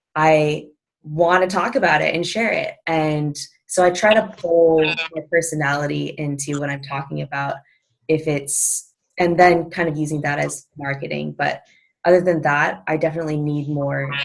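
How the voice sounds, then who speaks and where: Quiet and fairly even in intonation, a woman speaks at a moderate pace with a very deep, low pitch. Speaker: personal trainer. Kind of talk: video call interview. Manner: mellow and quiet.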